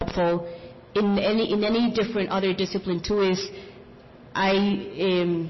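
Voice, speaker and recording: Noticeable background noise accompanies a woman speaking with a non-native accent. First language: not English. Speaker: small business founder. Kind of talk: panel discussion.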